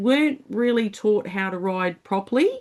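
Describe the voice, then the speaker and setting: Talking at a moderate pace with an Australian accent, a woman shows ordinary pitch variation against a quiet background. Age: 50s. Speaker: motorcycle community founder. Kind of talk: podcast interview.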